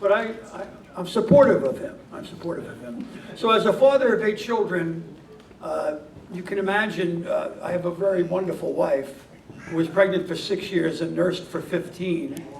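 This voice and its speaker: The speaker has an American accent, with big swings in loudness, audible room echo and noticeable background noise. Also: man, high pitch for a man, ordinary pitch variation, moderate pace. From New York. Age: 60s. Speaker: peace activist receiving an award. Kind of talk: award acceptance speech. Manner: halting, with many fillers.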